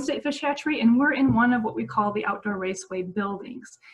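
The woman's speech moves at a fairly quick pace. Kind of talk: online educational presentation. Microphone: webcam.

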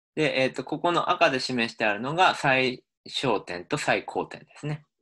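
Against a silent background in a very clean recording, a man speaks with a bright, sharp tone and lively intonation. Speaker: linguistics professor. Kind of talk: lecture.

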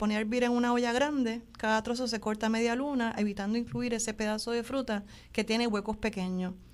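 Over a very clean recording with a silent background, a woman talks at a fairly quick pace. She has an unremarkable speaking voice, fairly high in pitch, with fairly even intonation. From Puerto Rico, Trujillo Alto. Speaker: journalist and artisan. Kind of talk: interview. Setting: studio.

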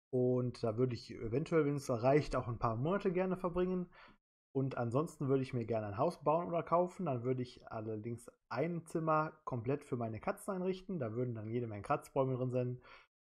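Over a quiet background, a man speaks at a fairly quick pace in a medium pitch with lively intonation. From Germany, Solingen (North Rhine-Westphalia). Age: 30s. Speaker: quiz show applicant. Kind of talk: self-presentation video.

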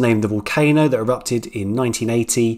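Here a man speaks at a medium pitch and a moderate pace.

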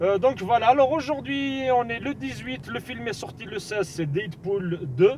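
At a very slow pace, a man speaks with very wide pitch swings in a dry sound with no echo and light background noise. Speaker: film vlogger. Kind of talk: casual vlog chat. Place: car. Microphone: phone near.

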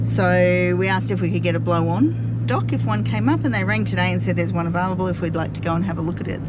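Loud background noise runs under a woman speaking at a fairly quick pace. The sound is dry, with no echo. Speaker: sailing vlogger. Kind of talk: casual vlog chat. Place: car. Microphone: phone near.

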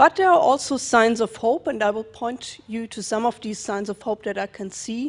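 A woman with a German accent talks at a moderate pace with hardly any pauses, using a fairly high pitch, ordinary pitch variation and big swings in loudness. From Germany. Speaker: legal scholar; panelist. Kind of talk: panel discussion. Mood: earnest, measured. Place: hall. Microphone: handheld.

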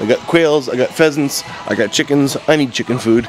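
Over faint music in the background, a man speaks in a flat monotone, the sound dry with no echo. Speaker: vlogger and parent; vlogger. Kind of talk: casual vlog narration. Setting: car and home center store. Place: shop. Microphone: phone near.

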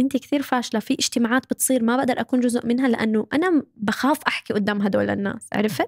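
Against a quiet background, a woman talks fairly quickly in a high voice with ordinary pitch variation. The sound is dry with no echo. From Saudi Arabia, Syrian-Jordanian family. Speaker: social media manager and content creator; guest. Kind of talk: casual chat. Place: studio. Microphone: studio mic.

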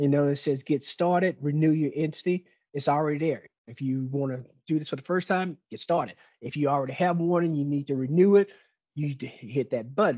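This man has a dark, mellow tone and ordinary pitch variation. He talks at a moderate pace against a quiet background. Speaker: webinar presenter. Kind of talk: lecture. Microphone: webcam.

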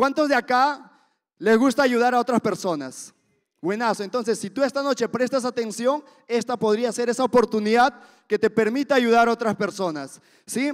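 An animated man's voice, extremely high in pitch, with ordinary pitch variation, a moderate pace and a quiet background. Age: 20s. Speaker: event emcee. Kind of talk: motivational event hosting. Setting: stage with audience. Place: hall. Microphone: handheld.

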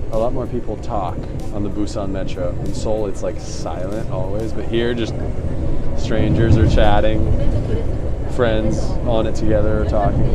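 Music plays in the background as a man speaks at a moderate pace. He takes long, frequent pauses. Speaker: travel vlogger. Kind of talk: casual vlog chat. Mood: amused, excited. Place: station. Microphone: lapel.

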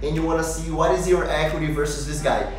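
A man speaks with audible room echo. Faint music plays in the background. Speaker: channel host. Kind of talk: tutorial. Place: home room.

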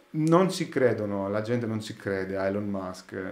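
Audible room echo surrounds a man whose voice sits fairly low in pitch. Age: 30s. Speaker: sound engineer; podcast guest. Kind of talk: casual chat. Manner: halting. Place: studio.

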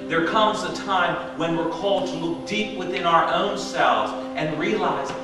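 A man speaks in a raised, projected voice at a fairly slow pace, with very wide pitch swings. Clear music plays in the background, and room echo is audible. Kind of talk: sermon. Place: church.

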